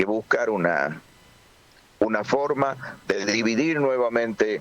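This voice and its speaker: Speaking with lively intonation, a man is heard over noticeable background noise. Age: 60s. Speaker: political organizer. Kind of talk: interview.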